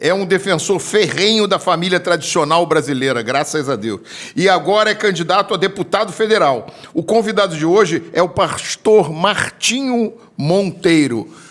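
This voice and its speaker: Lively in intonation and high in pitch, a man talks at a moderate pace amid noticeable background noise. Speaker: podcast host. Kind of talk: interview.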